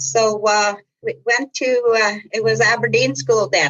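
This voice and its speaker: A woman speaks with a Manitoban accent. Her medium-pitched voice has lively intonation. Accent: Canadian (Manitoba). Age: 60s. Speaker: community centre executive director. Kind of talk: podcast interview. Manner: casual, hesitant with frequent fillers.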